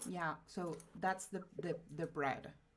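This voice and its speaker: Vocal fry runs through speech delivered at a very slow pace with ordinary pitch variation. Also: woman. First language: Spanish. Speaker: streamer. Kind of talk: casual chat. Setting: live stream.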